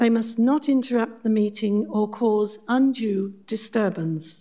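Against a quiet background, a woman speaks at a fairly slow pace. Her tone is dark and mellow, with ordinary pitch variation. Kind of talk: formal meeting chairing. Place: hall.

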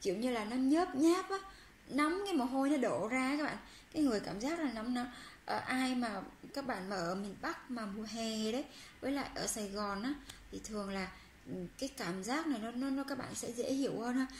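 A woman speaks at a moderate pace in a high voice with lively intonation. The room echoes audibly, and there is light background noise. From Vietnam. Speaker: Korean language teacher on a video channel. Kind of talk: language lesson tutorial. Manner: hesitant, many fillers. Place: home room. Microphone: phone near.

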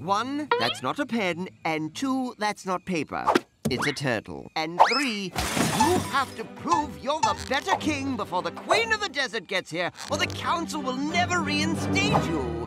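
A put-on character voice with a bright, sharp tone swings very widely in pitch at a fairly slow pace with few pauses, faint music in the background. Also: man, extremely high pitch for a man.

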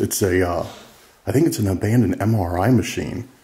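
With a plain, everyday voice, a man speaks at a fairly quick pace and a fairly low pitch, with ordinary pitch variation. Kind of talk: casual exploration commentary. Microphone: phone near.

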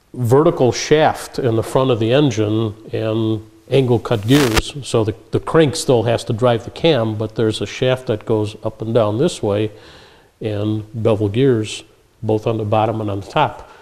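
Fairly even intonation at a fairly slow pace. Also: man. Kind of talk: interview answer. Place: garage. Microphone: camera far.

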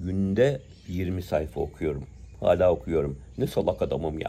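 Fairly slow in pace, a man speaks with a dark, mellow tone. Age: 60s. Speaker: prayer bead collector and commentator. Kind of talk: monologue commentary; casual vlog chat, opinionated monologue. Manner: hesitant with filler sounds. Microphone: phone near.

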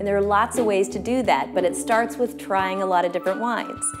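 Clear music plays behind a woman as she talks. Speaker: wine expert host. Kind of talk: tutorial. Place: kitchen.

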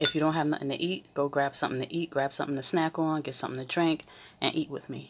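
A woman's very deep, low voice at a fairly quick pace, with fairly even intonation and light background noise. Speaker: mukbang host. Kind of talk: casual vlog chat. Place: home room. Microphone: phone near.

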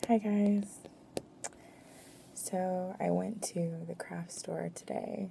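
Soft-spoken and very slow, the voice comes through light background noise. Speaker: ASMR creator. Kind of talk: ASMR talk to camera. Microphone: phone near.

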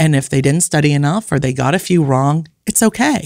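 Over a quiet background, a woman speaks at a very deep, low pitch in a dry sound with no echo. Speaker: family counselor and author. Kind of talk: casual chat. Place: studio. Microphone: studio mic.

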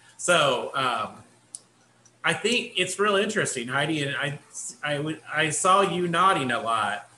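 A fairly high male voice at a fairly slow pace, with light background noise and audible room echo. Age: 50s. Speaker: assistant professor, committee chair. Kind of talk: work meeting. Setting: video call. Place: home room. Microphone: video call.

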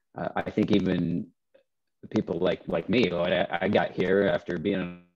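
Light background noise sits behind a man with a very deep, low voice. He talks fairly slowly with fairly even intonation. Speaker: podcast co-host. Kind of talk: casual podcast talk. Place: home room. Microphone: headset.

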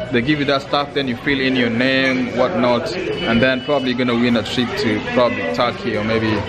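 Crowd noise fills the background. A man talks at a fairly quick pace with hardly any pauses. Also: ordinary pitch variation. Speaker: vlogger. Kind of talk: casual vlog chat. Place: street. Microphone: phone near.

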